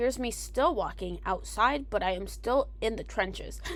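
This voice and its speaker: A woman is speaking. Her pace is moderate. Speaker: travel vlogger. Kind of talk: casual vlog voiceover.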